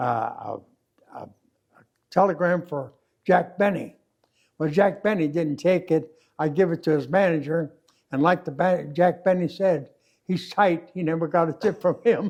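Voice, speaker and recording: With an American accent, a man speaks at a high pitch with ordinary pitch variation, leaving long, frequent pauses. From Kansas City, Missouri. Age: 80s+. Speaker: war veteran. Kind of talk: interview answer.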